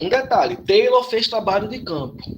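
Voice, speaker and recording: A man's voice with very wide pitch swings at a fairly slow pace. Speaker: anthropology lecturer. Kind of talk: lecture. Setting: online class with chat.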